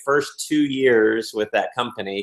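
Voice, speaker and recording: A man's voice with audible room echo against a quiet background. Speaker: interview guest. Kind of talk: interview answer. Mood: upbeat, laughing storyteller. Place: home room. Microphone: video call.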